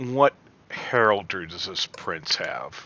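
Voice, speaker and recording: A man puts on a character voice of medium pitch, speaking at a very slow pace. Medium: actual play. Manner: suspicious.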